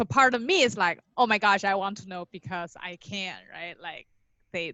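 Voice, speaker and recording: A woman speaks with a Chinese accent at medium pitch and a moderate pace. Her pitch variation is ordinary, but her loudness swings widely. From China. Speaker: podcast guest, new mother. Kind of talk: casual interview, personal birth story. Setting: podcast interview.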